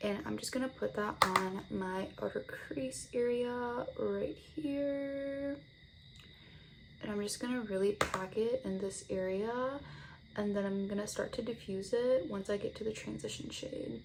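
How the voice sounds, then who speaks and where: A woman at a fairly slow pace, her pitch fairly high and her intonation lively, with noticeable background noise. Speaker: beauty vlogger. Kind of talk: makeup tutorial. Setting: home, on camera. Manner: casual, chatty.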